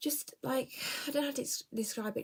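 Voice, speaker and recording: At a moderate pace, a woman talks in an English accent with ordinary pitch variation. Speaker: book vlogger. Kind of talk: casual chat. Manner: animated.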